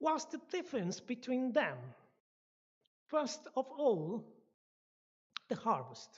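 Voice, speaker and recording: Speaking at a very slow pace with long, frequent pauses, a woman uses lively intonation in a high pitch. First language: not English, not even second language. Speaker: guest speaker at church. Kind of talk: lecture. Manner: halting, with restarts.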